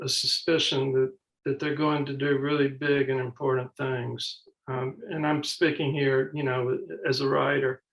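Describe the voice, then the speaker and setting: Here a man speaks with a Mississippi accent. His voice is fairly high, and his pace is fairly slow. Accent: Mississippi Southern. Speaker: author and professor. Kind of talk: panel conversation.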